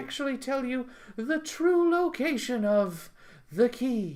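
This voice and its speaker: The speaker uses a put-on character voice. The delivery is fairly slow. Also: woman, high pitch for a woman. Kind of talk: comic improvised storytelling. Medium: read story. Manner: deadpan, matter-of-fact.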